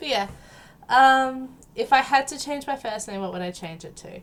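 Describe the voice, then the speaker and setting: In an Australian accent, a woman speaks at a moderate pace with lively intonation. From South Australia. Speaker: gaming YouTuber. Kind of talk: casual vlog Q&A. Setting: home recording with headset and background music. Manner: hesitant, many ums.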